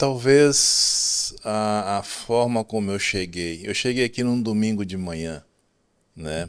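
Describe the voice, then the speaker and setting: A very slow pace with long, frequent pauses. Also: man. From Brazil. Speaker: telecom engineer. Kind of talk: podcast interview.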